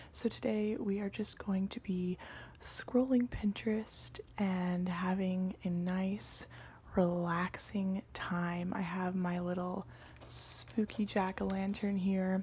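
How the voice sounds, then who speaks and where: A soft-spoken woman whispers at a very slow pace. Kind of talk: ASMR scroll-through, casual talk to camera. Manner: soft-spoken, whispery, relaxed.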